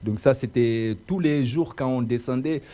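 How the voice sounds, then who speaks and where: A man with a non-native accent speaks at a fairly slow pace, his medium-pitched voice dark and mellow in tone. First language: not French (speaking French). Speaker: radio host. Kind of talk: interview. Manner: hesitant, many fillers.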